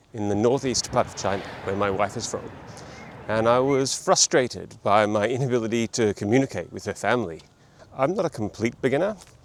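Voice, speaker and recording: A man with an Australian accent, at a fairly quick pace, with lively intonation. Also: big swings in loudness. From Australia, Melbourne. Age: 40s. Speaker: language learning vlogger. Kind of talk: vlog monologue.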